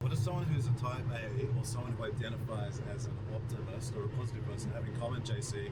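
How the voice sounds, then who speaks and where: A man talks at a very fast pace with hardly any pauses, in a medium pitch and a monotone, flat delivery. Audible room echo surrounds the voice. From Australia. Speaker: vlogger and marketing strategist. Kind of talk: travel vlog narration; interview.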